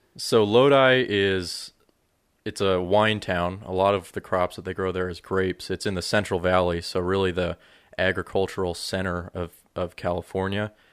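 A man speaks at a moderate pace in a very deep, low voice with fairly even intonation. The recording is very clean, with a silent background. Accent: American. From Colorado. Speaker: video producer. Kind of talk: casual chat. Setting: office.

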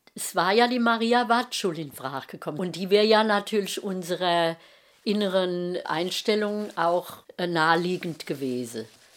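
Speech comes in a strong Hessian accent with lively intonation. The pace is moderate, and the loudness swings widely. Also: woman, medium pitch for a woman. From Rhein-Main area, Germany. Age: 70s. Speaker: mother of podcaster. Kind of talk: casual chat. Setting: at home.

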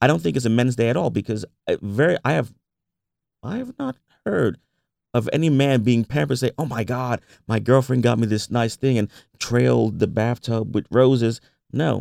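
In a New York accent, a man speaks at medium pitch and a moderate pace with ordinary pitch variation and long, frequent pauses, the sound dry and close with no echo. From US Northeast, Bronx, New York. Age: 40s. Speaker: entrepreneur and baker. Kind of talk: interview.

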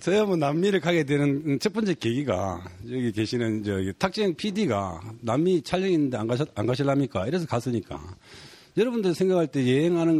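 A man with a Gyeongsang accent, fairly high pitch, a dark, mellow tone, a fairly quick pace and very wide pitch swings. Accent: Gyeongsang Korean. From South Korea, Gyeongsang region. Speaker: photographer and author. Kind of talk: casual chat.

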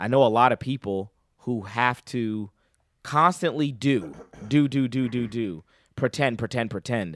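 A man speaks with an American accent at medium pitch and a fairly slow pace. His pitch varies in an ordinary way on a very clean recording with a silent background. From Boston. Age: 30s. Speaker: preacher. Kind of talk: casual chat. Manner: animated.

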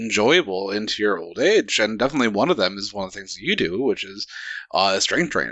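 Here is a man with an American accent and an unremarkable speaking voice. He talks at medium pitch with ordinary pitch variation. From United States. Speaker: radio show co-host. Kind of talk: casual chat.

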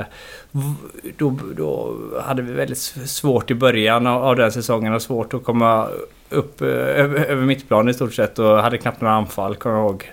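Moderately paced speech from a man, medium in pitch, with typical rise and fall. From Gothenburg, Sweden. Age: 40s. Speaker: football head coach. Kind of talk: casual interview.

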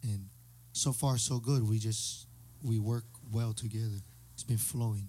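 A man's medium-pitched voice, dark and mellow in tone, somewhat breathy. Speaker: singer. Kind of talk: casual chat. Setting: studio.

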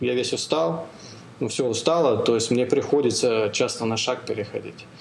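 Amid noticeable background noise and audible room echo, a man speaks at a moderate pace and medium pitch. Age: 40s. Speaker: podcast host and amateur ultramarathon runner. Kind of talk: casual interview chat. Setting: call. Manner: halting, many fillers.

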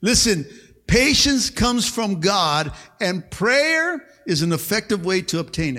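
A man's raised, projected voice, high-pitched with a bright, sharp tone, very wide pitch swings and a very slow pace, on a very clean recording with a silent background. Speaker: pastor. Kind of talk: sermon to a live congregation. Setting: church. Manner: animated, rhythmic call-and-response preaching, punchy short exhortations; repeats words and fillers, stops and restarts, punctuates with 'amen'.

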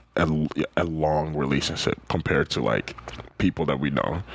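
Against noticeable background noise, a man speaks at a very deep, low pitch. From Ghana. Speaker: podcast co-host. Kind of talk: casual chat. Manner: animated, laughing often.

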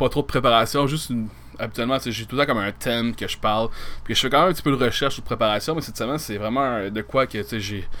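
A man speaks very fast in a Quebec accent, at a medium pitch with ordinary pitch variation. His tone is bright and sharp. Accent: Québécois French. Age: 30s. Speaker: podcast host. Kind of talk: casual solo monologue.

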